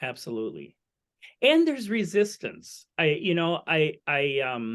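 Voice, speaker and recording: Very wide pitch swings in a man's high voice. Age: 60s. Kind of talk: webinar conversation. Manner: halting.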